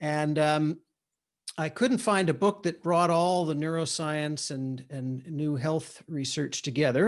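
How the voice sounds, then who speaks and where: Over a quiet background, a man with a plain, everyday voice speaks fairly slowly, his fairly high pitch showing ordinary variation. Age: 60s. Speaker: neuroscientist and author. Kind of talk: interview conversation. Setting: video call.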